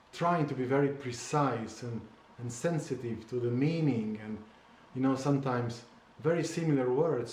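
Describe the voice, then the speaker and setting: The voice has ordinary pitch variation and a Slovene accent. Room echo is audible. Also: man. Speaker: memoir author. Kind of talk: casual conversation. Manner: halting, with many repetitions and fillers.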